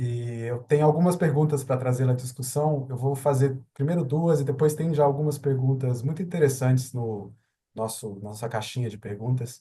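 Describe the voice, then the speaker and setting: Speaking at a very fast pace, a man with a medium-pitched, dark, mellow and somewhat breathy voice shows ordinary pitch variation. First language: Portuguese. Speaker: webinar moderator. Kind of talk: webinar moderation.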